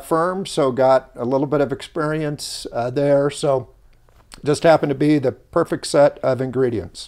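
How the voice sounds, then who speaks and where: In an American accent, a man talks at a moderate pace with a fairly high pitch and ordinary pitch variation. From Southern California, Los Angeles area. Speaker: company founder and hotelier. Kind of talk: interview. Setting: on location in Tahoe. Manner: hesitant, many fillers.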